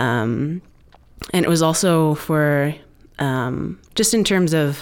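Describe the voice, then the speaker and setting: The woman's voice is very deep and low, with ordinary pitch variation. She speaks at a very slow pace. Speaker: recovering alcoholic, ministry staff. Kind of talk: testimony. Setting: studio.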